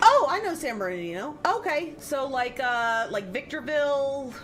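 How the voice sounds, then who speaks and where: This woman has an American accent and an animated tone, with very wide pitch swings at a moderate pace. Music plays in the background, and the room echo is audible. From US West, southern California (Palmdale). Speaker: gaming streamer. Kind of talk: casual chat. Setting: live stream.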